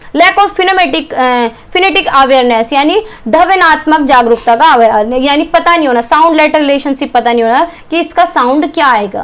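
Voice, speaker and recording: Noticeable background noise surrounds a woman speaking with a high pitch and lively intonation. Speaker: teacher. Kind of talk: lecture. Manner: fast.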